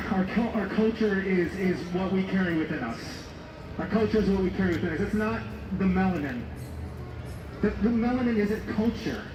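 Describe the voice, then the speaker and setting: Fairly quick speech in an American accent, with long, frequent pauses and noticeable background noise. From California, San Diego. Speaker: protest speaker. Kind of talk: protest speech. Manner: impassioned.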